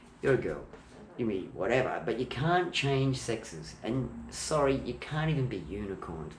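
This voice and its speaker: The voice carries an Australian accent with very wide pitch swings. Room echo can be heard. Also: man. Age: 60s. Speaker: home video maker. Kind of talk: casual chat. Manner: animated.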